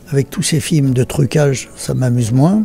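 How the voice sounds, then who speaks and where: With faint music behind him and a dry sound with no echo, a man speaks at a fairly slow pace in a medium pitch. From France. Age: 80s+. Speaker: film director. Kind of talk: interview answer. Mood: reflective, thoughtful.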